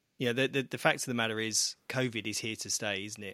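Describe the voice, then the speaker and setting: The tone is bright and sharp, captured on a very clean recording with a silent background. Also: man. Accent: British. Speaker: publisher, co-host of finance podcast. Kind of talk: casual chat.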